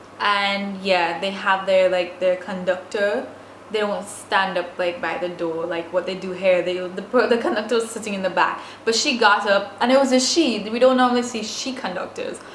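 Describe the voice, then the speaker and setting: A woman speaks at medium pitch with ordinary pitch variation. Audible room echo and noticeable background noise fill the recording. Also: moderate pace. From Saint Vincent. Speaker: vlogger. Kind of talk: storytime vlog. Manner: casual, many fillers.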